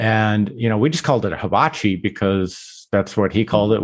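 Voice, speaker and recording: This man has a fairly low pitch. He talks at a moderate pace. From Utah, US (Salt Lake City). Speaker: barbecue writer. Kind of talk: casual interview. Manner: hesitant, many fillers.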